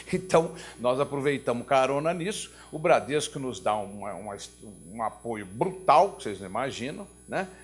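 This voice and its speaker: A man with a fairly high voice swings very widely in pitch and varies a lot in loudness. Music plays behind him. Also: moderate pace. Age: 70s. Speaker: nonprofit executive. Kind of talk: opening remarks at a talk.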